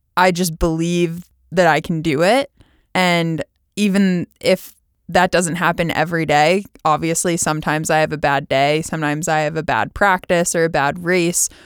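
A woman with an American accent talks at a moderate pace in a normal speaking voice, pitched fairly low with fairly even intonation. The recording is very clean with a silent background and a dry, close sound with no echo. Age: 30s. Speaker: olympic rower and podcast host. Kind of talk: personal monologue.

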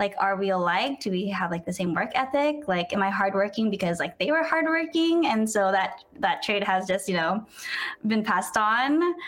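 Over noticeable background noise, a woman talks at a moderate pace and medium pitch with very wide pitch swings and very even loudness. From San Diego, California. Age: 20s. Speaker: food content creator. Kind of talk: casual interview.

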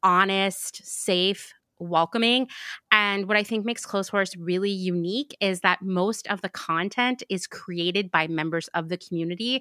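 A woman at medium pitch speaks at a fairly slow pace with fairly even intonation. Her tone is bright and sharp, and the sound is dry and close with no echo. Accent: American. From US Pacific Northwest (Portland). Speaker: podcast host. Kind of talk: casual chat.

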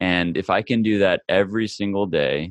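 A man with a Midwestern American accent, very deep, low pitch, and a dry, close sound with no echo. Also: quiet background. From Kansas, US Midwest. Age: 20s. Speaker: former pro golfer and development coach. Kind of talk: interview.

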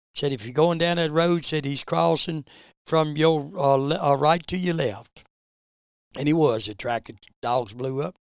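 A man speaks in an Appalachian accent at a moderate pace. His pitch is fairly high, with ordinary variation. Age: 70s. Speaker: bear hunter. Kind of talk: storytelling.

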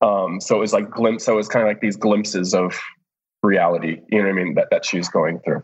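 A man's normal speaking voice, fairly low in pitch, with an American accent, a fairly quick pace and fairly even intonation. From US Midwest (downstate Illinois). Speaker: TV editor. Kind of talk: interview. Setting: video call.

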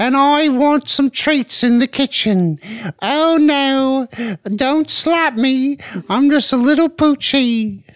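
A female-sounding put-on character voice, high-pitched for a woman, at a very slow pace. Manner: pleading, cringing.

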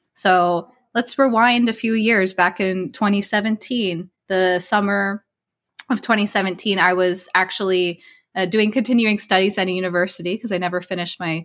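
With an American accent and a plain, everyday voice, a woman of medium pitch talks at a moderate pace with fairly even intonation in a very clean recording with a silent background. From New Jersey. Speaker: spiritual life coach. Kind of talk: interview conversation.

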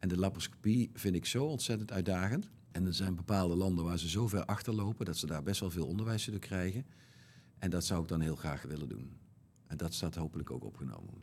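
Very deep and low, a man's voice moves at a very fast pace with lively intonation. Vocal fry runs through his speech. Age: 50s. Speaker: bariatric surgeon. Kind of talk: interview.

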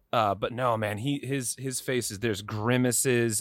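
In a normal speaking voice, a man talks with fairly even intonation at a medium pitch, captured in a very clean recording with a silent background. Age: 40s. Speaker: podcast guest, film discussion. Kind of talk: casual chat.

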